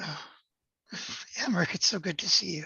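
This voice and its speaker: A raspy, put-on character voice with a gentle, warm tone sits at a middle pitch and moves at a fairly quick pace. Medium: actual play.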